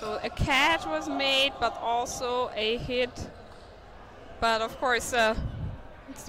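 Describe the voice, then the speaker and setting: The speaker talks very slowly with a non-native accent and ordinary pitch variation. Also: woman. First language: not English. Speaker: sports commentator. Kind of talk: live commentary. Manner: animated.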